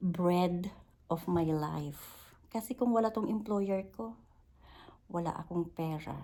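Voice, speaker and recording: A woman talks at a very slow pace in a fairly low voice. Her intonation is lively. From Philippines. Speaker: vlogger and domestic worker. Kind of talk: casual vlog monologue.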